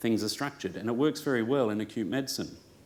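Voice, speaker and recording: A man with an Australian accent and a medium pitch speaks with ordinary pitch variation amid audible room echo. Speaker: clinician and speaker. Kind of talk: conference talk. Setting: room with live audience. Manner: hesitant, many fillers.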